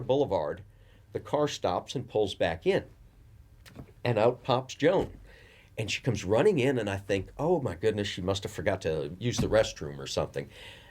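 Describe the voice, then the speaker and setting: A man's medium-pitched voice with very wide pitch swings, vocal fry and a moderate pace. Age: 60s. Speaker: music venue owner. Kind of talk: interview. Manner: halting.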